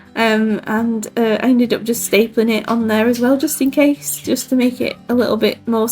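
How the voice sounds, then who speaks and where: Music plays in the background as a woman with a British accent speaks at a moderate pace, with ordinary pitch variation and very even loudness. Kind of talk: casual crafting voiceover.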